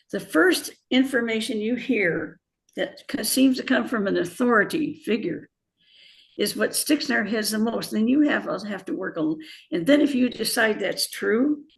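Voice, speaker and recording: With an American accent, a woman speaks at a moderate pace in a fairly high, somewhat breathy voice. Her pitch swings very widely. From US Midwest, Indiana. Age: 80s+. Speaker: author and former bio-chemist. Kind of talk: interview.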